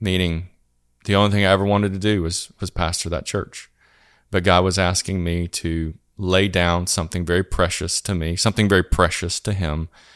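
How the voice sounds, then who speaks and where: A man with a Southern US accent speaks at a very deep, low pitch. His intonation is monotone and flat. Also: fairly quick pace, very clean recording, silent background. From US South. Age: 40s. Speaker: church planting strategist. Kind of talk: podcast interview.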